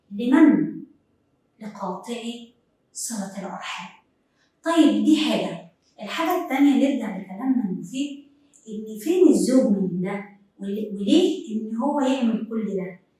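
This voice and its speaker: A woman speaks at a fairly high pitch and a fairly slow pace, leaving long, frequent pauses. Her intonation is lively, her loudness swings widely, and the room echo is audible. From Upper Egypt. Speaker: TV presenter. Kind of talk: TV talk show monologue.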